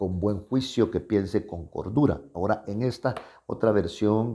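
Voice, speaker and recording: The man's voice is fairly low, with a dark, mellow tone and ordinary pitch variation. The recording is very clean, with a silent background. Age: 70s. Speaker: pastor. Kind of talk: sermon. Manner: halting.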